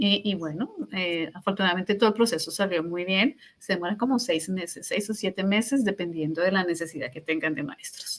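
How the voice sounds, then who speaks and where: A woman with a Colombian accent talks at a fairly quick pace and medium pitch, using ordinary pitch variation and hardly any pauses. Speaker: teacher. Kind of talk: interview. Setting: podcast. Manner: halting.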